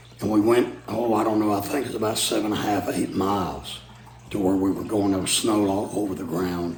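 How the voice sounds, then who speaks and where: A man with a fairly low voice and an American accent at a fairly quick pace, ordinary pitch variation, audible room echo and noticeable background noise. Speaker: preacher. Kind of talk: storytelling. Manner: halting with fillers.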